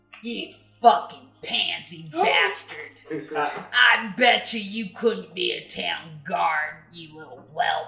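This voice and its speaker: A man shouting in a put-on character voice with a Southern US accent, high-pitched, with lively intonation, big swings in loudness, a very slow pace and hardly any pauses. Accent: Southern US twang. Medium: actual play. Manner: belligerent, shouting insults.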